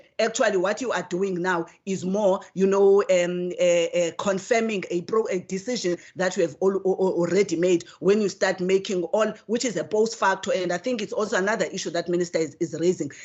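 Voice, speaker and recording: A woman at a fairly quick pace, with fairly even intonation, hardly any pauses, and noticeable background noise. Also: medium pitch for a woman. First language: not English. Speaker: committee member, legislator. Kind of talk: committee hearing debate. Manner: halting, many repetitions; formal.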